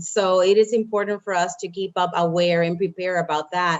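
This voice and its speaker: This woman has a Spanish accent. She talks fairly quickly. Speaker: engineering program manager. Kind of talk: panel discussion. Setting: video call.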